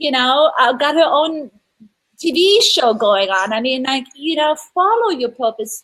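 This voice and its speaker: Speaking at a fairly slow pace, a woman uses a high pitch. Her voice makes very wide pitch swings. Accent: European. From Europe. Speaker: marketing or business expert. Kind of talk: live-streamed interview chat. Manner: animated.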